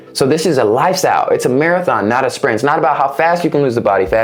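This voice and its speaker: A man speaks very fast with lively intonation, with audible room echo and noticeable background noise. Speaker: fitness coach and entrepreneur. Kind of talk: vlog-style tutorial. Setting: indoors, no air conditioning. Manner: occasional stutter.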